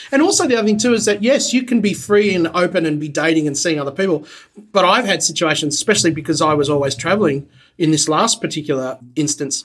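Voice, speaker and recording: This man's voice is high-pitched with lively intonation. He speaks at a very fast pace. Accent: Australian. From Australia. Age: 40s. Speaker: TV producer. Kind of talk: casual chat.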